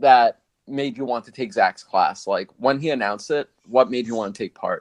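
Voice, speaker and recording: Heard with no echo, a man speaks in a dry, close sound. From US, Guatemalan immigrant family. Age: young. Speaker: podcast host and videographer. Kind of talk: casual interview chat.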